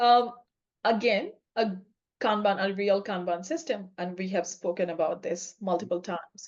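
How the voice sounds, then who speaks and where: A non-native accent at a moderate pace, with ordinary pitch variation. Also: woman, medium pitch for a woman. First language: not English. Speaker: podcast co-host, agile coach. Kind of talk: casual chat.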